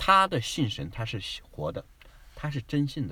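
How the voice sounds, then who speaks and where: Very fast, fairly high-pitched speech from a man, bright and sharp with vocal fry and very wide pitch swings. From mainland China. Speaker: immigrant travel guest. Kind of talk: casual chat.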